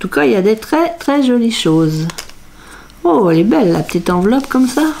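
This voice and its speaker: A woman speaks in a playful tone. Noticeable background noise can be heard. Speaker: crafting youtuber. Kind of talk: unboxing video.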